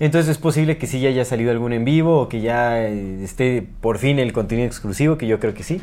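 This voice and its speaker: With a Mexican accent, a man speaks at a fairly quick pace with hardly any pauses. His medium-pitched voice has a dark, mellow tone and ordinary pitch variation. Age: 30s. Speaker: podcast co-host. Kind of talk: casual chat.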